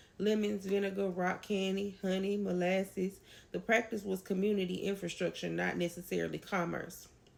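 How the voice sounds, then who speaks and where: A woman with a slight Southern US accent and very even loudness. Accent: a little country. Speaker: educator on folk tradition. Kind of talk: educational lecture. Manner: fast.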